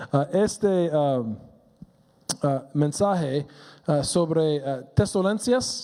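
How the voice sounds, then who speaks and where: Speaking at a very slow pace with lively intonation, a man with a fairly high pitch is heard over noticeable background noise. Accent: English. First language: English (speaking Spanish). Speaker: pastor. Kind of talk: sermon. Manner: halting, many fillers.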